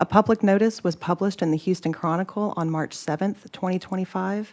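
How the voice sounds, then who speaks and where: Soft-spoken and at a medium pitch, a woman talks at a fairly quick pace. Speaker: state agency staff. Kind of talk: formal presentation at a public meeting.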